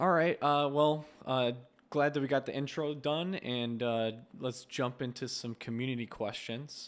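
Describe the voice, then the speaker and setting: A man with an American accent speaks at a fairly slow pace in a plain, everyday voice, his medium pitch showing ordinary pitch variation. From USA. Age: 30s. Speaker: interviewer. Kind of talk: interview.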